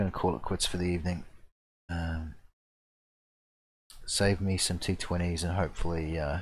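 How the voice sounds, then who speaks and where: A man speaks at a very deep, low pitch with a somewhat breathy, monotone, flat delivery. His moderate pace is broken by long, frequent pauses. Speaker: gaming streamer. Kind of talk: gameplay commentary. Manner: halting.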